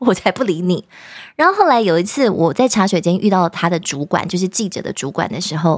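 A woman talks at a very fast pace and medium pitch. The sound is dry and close with no echo, on a very clean recording with a silent background. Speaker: news anchor and author. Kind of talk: casual chat. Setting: studio.

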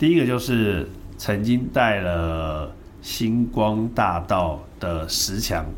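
Audible room echo surrounds the voice. Its pitch variation is ordinary. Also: man. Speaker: entertainment publicist and artist manager. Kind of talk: casual interview chat. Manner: blunt, direct.

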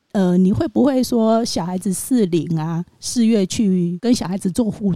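A woman's dark, mellow voice at a moderate pace, in a dry, close recording with no echo. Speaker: postpartum nanny. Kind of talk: interview.

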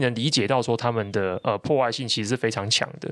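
This man talks at a very fast pace. The recording is very clean, with a silent background. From Taiwan, Taichung. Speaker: tech and business newsletter writer, podcast host. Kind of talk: casual conversational explainer of tech news.

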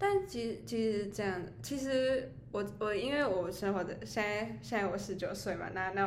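A woman speaks at a moderate pace with lively intonation and medium pitch. Audible room echo surrounds her voice. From Taiwan, Taichung. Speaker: podcast co-host. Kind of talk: casual chat.

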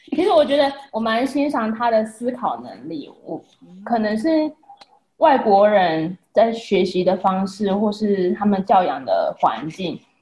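A woman's somewhat breathy, dark, mellow voice at a fairly high pitch, with very wide pitch swings, big swings in loudness, and a fairly slow pace. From Taiwan. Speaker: wife and mother. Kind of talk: casual chat.

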